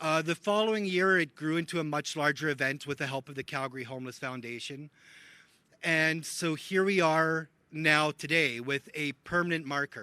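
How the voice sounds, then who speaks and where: Loud and bright with a sharp tone, a man speaks in a Canadian accent at a fairly high pitch. His pace is moderate, his pitch variation ordinary, and the sound dry and close with no echo. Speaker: homelessness advocate. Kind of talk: public speech.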